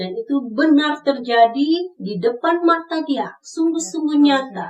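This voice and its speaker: Her voice is high in pitch, and the woman speaks at a fairly slow pace. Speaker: devotional speaker. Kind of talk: devotional sermon reflection.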